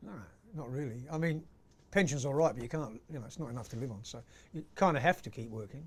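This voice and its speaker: A somewhat breathy man talks at a very fast pace with a medium pitch, ordinary pitch variation and big swings in loudness. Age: 60s. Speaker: actor and singer. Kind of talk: interview. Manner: casual, many fillers.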